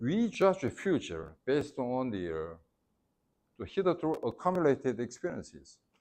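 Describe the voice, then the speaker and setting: Over a quiet background, a man speaks at a moderate pace with a medium pitch. His voice swings very widely in pitch. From South Korea. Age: 60s. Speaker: former ambassador. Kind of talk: lecture. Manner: halting.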